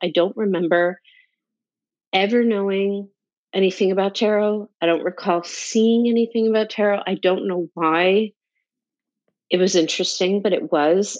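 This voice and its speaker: A woman speaks in a plain, everyday voice at a moderate pace. Her pitch is medium, with ordinary variation. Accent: American. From North New Jersey, US. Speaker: tarot teacher and entrepreneur. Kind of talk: interview, personal life story.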